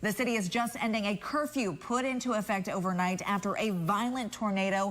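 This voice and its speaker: A woman speaks in an unremarkable speaking voice. Her pace is moderate and her pitch variation ordinary. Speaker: television news anchor and reporter. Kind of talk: TV news anchor delivery.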